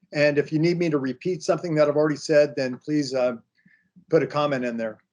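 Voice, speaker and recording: Speaking at a very fast pace, a man uses a fairly high pitch with fairly even intonation. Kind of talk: webinar remarks. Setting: online webinar.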